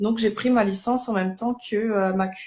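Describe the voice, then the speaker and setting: A woman's somewhat breathy voice with a dark, mellow tone, medium pitch, ordinary pitch variation, a fairly slow pace and a slight Alsatian accent. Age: 30s. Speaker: network marketing distributor. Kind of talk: live interview testimony. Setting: livestream.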